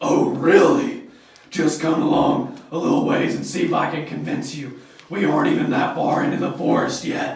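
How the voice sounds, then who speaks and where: A raspy, put-on character voice comes at a moderate pace through strong echo. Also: man. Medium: short film. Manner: sly, mocking.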